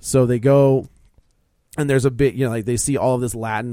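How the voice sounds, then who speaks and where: In a dark, mellow tone, a man talks very fast on a very clean recording with a silent background. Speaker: film podcast co-host. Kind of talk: casual chat.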